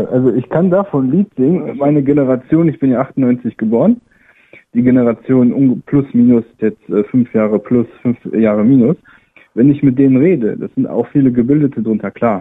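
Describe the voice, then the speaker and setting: With a normal speaking voice, a man talks at a moderate pace in a medium pitch, showing ordinary pitch variation. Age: 20s. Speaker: caller. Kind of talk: call-in radio discussion.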